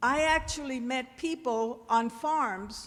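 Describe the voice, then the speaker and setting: Loud and bright with a sharp tone, a woman speaks at a high pitch with ordinary pitch variation amid audible room echo. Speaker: audience member, former teacher. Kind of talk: audience comment at town hall. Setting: church hall with audience.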